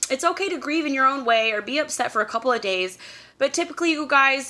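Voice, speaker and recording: A loud voice with a bright, sharp, animated tone and very wide pitch swings. The recording is very clean with a silent background. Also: woman. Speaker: YouTube vlogger. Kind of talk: casual advice vlog.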